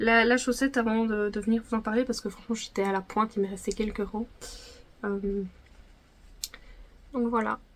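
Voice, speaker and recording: At a moderate pace, a woman with a fairly high pitch speaks in a monotone, flat intonation with long, frequent pauses. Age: 20s. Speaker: knitting podcaster. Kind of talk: casual chat. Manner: hesitant, many fillers.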